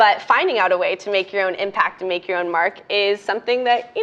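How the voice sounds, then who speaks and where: Here a woman talks at a very fast pace. Her medium pitch shows ordinary variation. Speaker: undergraduate student panelist. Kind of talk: panel discussion.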